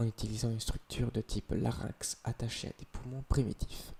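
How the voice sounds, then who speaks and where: A man talks at a moderate pace, and the sound is dry and close with no echo. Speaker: ASMR creator. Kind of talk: reading aloud. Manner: whispered ASMR delivery; occasional stumbling.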